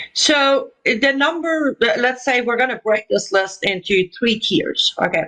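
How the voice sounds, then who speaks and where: A woman with a high voice speaks in an Iranian accent, her pitch swinging very widely while her loudness stays very even. She barely pauses, and the sound is dry and close with no echo. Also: fairly slow pace. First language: Persian. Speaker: Iranian dissident broadcaster. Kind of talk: political interview.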